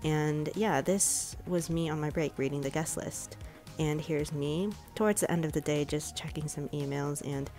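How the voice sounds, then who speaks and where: Speech at a moderate pace with fairly even intonation, music in the background. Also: woman. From Chicago suburbs, USA. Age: 20s. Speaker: publishing intern and library worker. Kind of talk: casual vlog voiceover.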